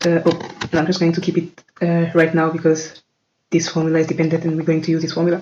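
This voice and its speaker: A woman's fairly low-pitched voice with a non-native accent. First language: not English. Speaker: tech tutorial creator. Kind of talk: tutorial. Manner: halting, many fillers.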